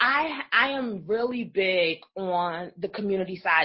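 A woman's ordinary speaking voice, medium in pitch, with lively intonation. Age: 30s. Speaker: business coach. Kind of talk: interview.

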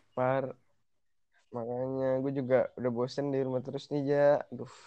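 A man's dark, mellow voice at a medium pitch, monotone and flat, at a moderate pace with long, frequent pauses. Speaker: guest. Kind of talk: casual chat between friends. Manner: joking, slangy, profane.

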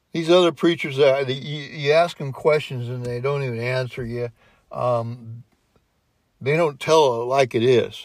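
An unremarkable speaking voice at a moderate pace with fairly even intonation. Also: man, medium pitch for a man. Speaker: former dairy farmer. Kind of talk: casual chat.

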